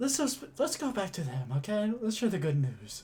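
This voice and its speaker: Put-on character voice with a fairly high pitch, very wide pitch swings and a moderate pace. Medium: actual play.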